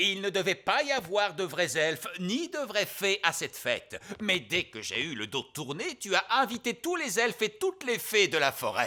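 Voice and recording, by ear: In a cartoonish character voice, a man speaks at a moderate pace with few pauses, his high, bright, sharp tone swinging widely in pitch.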